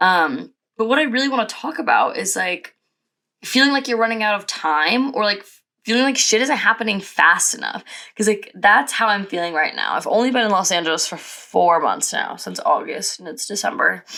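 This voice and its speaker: With lively intonation and a bright, sharp tone, a woman speaks at a fairly high pitch and a moderate pace. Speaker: podcaster and influencer assistant. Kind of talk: casual chat. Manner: casual, many fillers.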